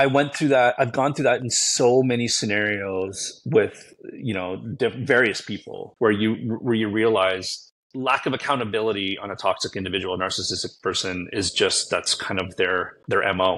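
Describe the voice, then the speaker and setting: With a plain, everyday voice, a man talks at a moderate pace in a medium pitch, his pitch varying in an ordinary way. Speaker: guest, social media creator. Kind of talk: casual interview chat.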